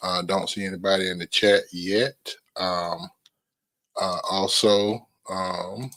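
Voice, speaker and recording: A man with a North Carolina accent speaks in a bright, sharp tone at a fairly low pitch. His delivery is very slow, with long, frequent pauses and fairly even intonation. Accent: Southeast North Carolina, country. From US South, southeast North Carolina. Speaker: podcast host. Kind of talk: solo livestream podcast talk. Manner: hesitant, many fillers.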